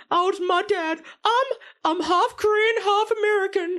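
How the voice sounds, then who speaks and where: The speaker puts on a character voice at an extremely high pitch and a moderate pace. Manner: funny crying voice.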